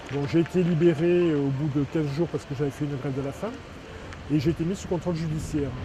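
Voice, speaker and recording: Speaking very fast with fairly even intonation, a man with a fairly high pitch is heard over noticeable background noise. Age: 60s. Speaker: protest activist. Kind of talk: testimony. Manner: halting, frequent hesitations.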